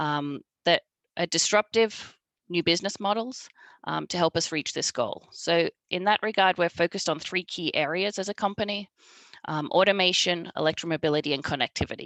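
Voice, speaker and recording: A woman's fairly low voice moves at a fairly quick pace with ordinary pitch variation, recorded dry and close with no echo. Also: quiet background. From Australia. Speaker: marketing director at a truck maker. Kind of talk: panel presentation.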